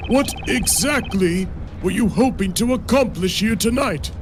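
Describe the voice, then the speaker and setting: Over loud background noise, a man uses a put-on character voice, pitched high, at a moderate pace. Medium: game stream. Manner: formal, stately.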